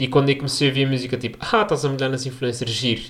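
A man's medium-pitched voice with a European Portuguese accent. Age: 20s. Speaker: podcast host and medical intern. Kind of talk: casual solo podcast monologue. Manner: relaxed.

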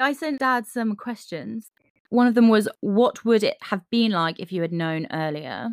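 With a plain, everyday voice, a woman speaks at a fairly slow pace with lively intonation and a fairly high pitch, in a dry, close sound with no echo on a very clean recording with a silent background. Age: 20s. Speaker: podcast host. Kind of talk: casual chat. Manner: laughs often.

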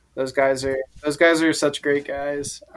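A fairly high-pitched man talks with an American accent. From Alexandria, Virginia, near DC. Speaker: drummer in a band. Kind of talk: casual chat. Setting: gym at his workplace.

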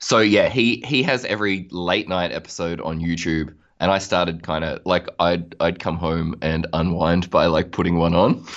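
An Australian-accented man speaks at a moderate pace with a very deep, low pitch and ordinary pitch variation. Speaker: musician. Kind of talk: casual interview.

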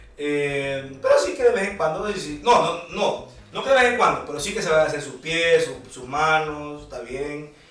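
A man's fairly high voice at a fairly slow pace, with lively intonation, big swings in loudness, audible room echo and noticeable background noise. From Honduras, Tegucigalpa. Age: 30s. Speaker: musician. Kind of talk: casual chat.

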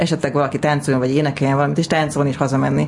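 A woman's very deep, low voice with fairly even intonation, against noticeable background noise. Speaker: stand-up comedian and screenwriter. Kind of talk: casual interview. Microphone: too far from the mic at first.

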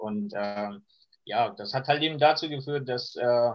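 This man talks at a fairly slow pace. The pitch varies in an ordinary way. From Iran. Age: 20s. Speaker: refugee sharing life story. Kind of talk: interview. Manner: hesitant, many fillers.

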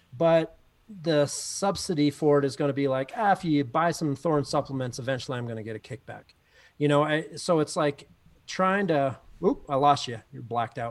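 A man with an ordinary speaking voice and a fairly high pitch moves at a moderate pace, his pitch varying in an ordinary way. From Canada. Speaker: athletics coach. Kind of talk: casual chat.

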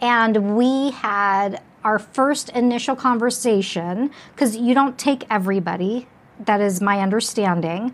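A woman with a plain, everyday voice and an American accent speaks at a fairly high pitch and a fairly slow pace, with ordinary pitch variation and very even loudness, in a very clean recording with a silent background. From Las Vegas, Nevada. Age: 50s. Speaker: podcast host. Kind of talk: interview.

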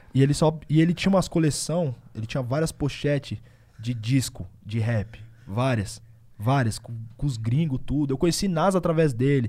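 A man's somewhat breathy voice has a dark, mellow tone and moves at a moderate pace. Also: medium pitch for a man, ordinary pitch variation. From Osasco and Bauru, São Paulo state, Brazil. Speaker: rapper. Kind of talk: casual chat.

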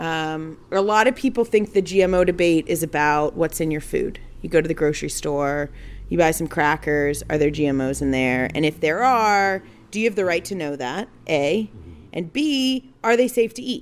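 Over a silent background in a very clean recording, a woman uses an unremarkable speaking voice at a fairly low pitch with lively intonation. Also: moderate pace. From Texas, Houston. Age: 30s. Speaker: food policy activist. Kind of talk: casual interview. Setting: outdoor deck at home.

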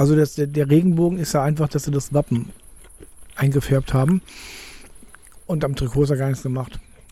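A man speaks with long, frequent pauses, his dark, mellow tone somewhat breathy. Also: fairly high pitch for a man, fairly even intonation, fairly quick pace. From southern Cologne area. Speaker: football podcast co-host. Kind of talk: casual chat. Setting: outdoors in a garden under an umbrella.

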